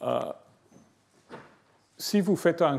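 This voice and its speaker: With a non-native accent, a man speaks using lively intonation. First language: not French (speaking French). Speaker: professor. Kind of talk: lecture. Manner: slow; halting, many hesitations.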